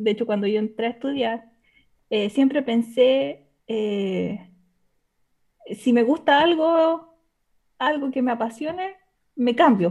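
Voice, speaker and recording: Her high pitch comes with lively intonation. The woman speaks at a very slow pace with long, frequent pauses. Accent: Chilean. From Chile. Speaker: caller seeking advice. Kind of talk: personal conversation. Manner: halting.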